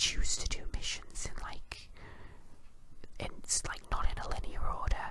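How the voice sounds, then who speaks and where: Whispering at a very slow pace. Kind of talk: ASMR whispered rant. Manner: whispered.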